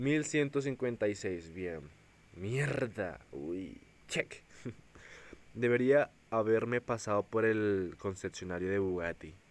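A man's fairly low voice at a very slow pace, full of lively intonation. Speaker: mobile gaming YouTuber. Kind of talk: gameplay commentary. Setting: seated at table, recording phone gameplay. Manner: animated.

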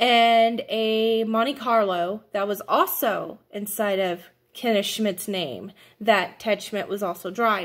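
A woman speaks at a very slow pace with ordinary pitch variation. The background is quiet. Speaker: vlogger telling a family story. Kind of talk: casual vlog chat. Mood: upset, indignant. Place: home room. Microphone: phone near.

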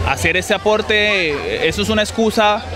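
Against crowd noise in the background, a man speaks at a fairly slow pace with ordinary pitch variation and a dry sound with no echo. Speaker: interviewee. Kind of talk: interview answer. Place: stadium. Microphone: handheld.

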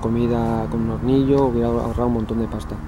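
Noticeable background noise sits behind the voice. A man talks at a fairly quick pace. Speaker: cycling vlogger. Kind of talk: casual vlog monologue. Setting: outdoors. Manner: animated. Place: forest. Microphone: phone near.

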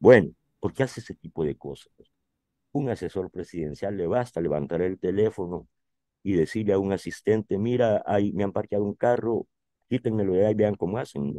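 With a dark, mellow tone and fairly low pitch, a man talks at a fairly quick pace with ordinary pitch variation, in a dry, close sound with no echo. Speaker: writer and journalist. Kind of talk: interview.

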